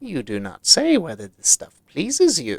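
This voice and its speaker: A put-on character voice, with a dry, close sound and no echo. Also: man. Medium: read story. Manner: courteous, smooth.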